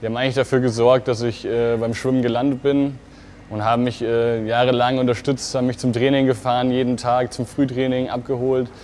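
With light background noise behind him, a man speaks fairly quickly at a medium pitch in a monotone, flat delivery. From Germany, Fulda (Hesse); Hesse. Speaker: competitive swimmer. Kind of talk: interview answers to camera. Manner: hesitant with fillers. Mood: relaxed, friendly, smiling. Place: hall. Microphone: lapel.

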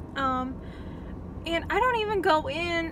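A woman talks at a very slow pace. The sound is dry with no echo, and background noise is noticeable. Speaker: vlogger. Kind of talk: casual vlog chat. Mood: excited, happy. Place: car. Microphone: phone near.

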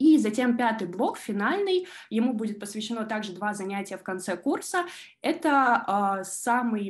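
Against a quiet background, a woman talks in a fairly high, somewhat breathy voice. Her intonation is lively. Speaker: law student and junior lawyer. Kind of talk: online presentation. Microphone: video call.

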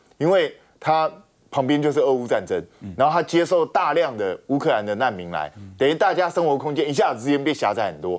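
The speech comes at a very fast pace with vocal fry. The pitch swings very widely over a quiet background. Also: man. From Taiwan. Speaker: talk show guest commentator. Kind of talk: TV panel discussion. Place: studio.

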